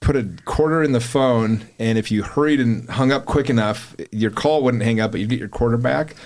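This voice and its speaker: Speaking at a fairly quick pace, a man with an American accent talks at a medium pitch. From Utah, Salt Lake area. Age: 40s. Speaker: podcast studio owner and podcaster. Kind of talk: casual chat. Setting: podcast studio. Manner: animated.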